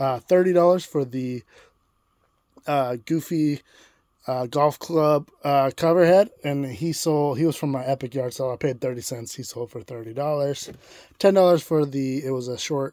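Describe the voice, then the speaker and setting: A fairly high-pitched male voice with a dark, mellow tone. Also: ordinary pitch variation. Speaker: online reseller, video host. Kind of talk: casual vlog about sold items. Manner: fast.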